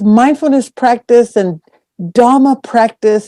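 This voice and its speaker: Dry and close with no echo, a woman's high-pitched voice has a dark, mellow tone. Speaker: meditation teacher. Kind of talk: dharma talk. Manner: volume varies soft and loud; hesitant, with fillers. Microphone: too quiet, hard to hear.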